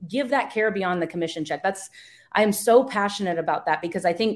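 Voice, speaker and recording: With an American accent and an ordinary speaking voice, a woman talks at a fairly quick pace and a medium pitch in a very clean recording with a silent background. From US East Coast. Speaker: real estate service provider. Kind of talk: interview.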